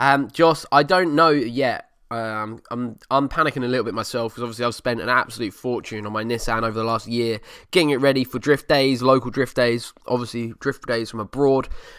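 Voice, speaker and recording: A man with an Essex accent, medium pitch, ordinary pitch variation and a fairly quick pace, on a very clean recording with a silent background. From Essex, England. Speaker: car podcast host. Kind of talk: casual solo podcast. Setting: home living room desk. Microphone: new USB desk microphone.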